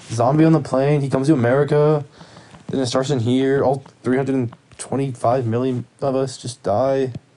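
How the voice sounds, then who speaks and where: A man speaks at a medium pitch in a monotone, flat intonation and a moderate pace. Noticeable background noise is audible. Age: young. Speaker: podcast co-host. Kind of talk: casual chat.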